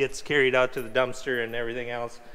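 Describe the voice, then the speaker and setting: His American accent is clear. The man's tone comes across bright and sharp. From US Midwest (Minnesota). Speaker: farmer. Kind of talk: casual chat. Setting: farm shop, indoors. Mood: joking banter. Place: workshop. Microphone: lapel.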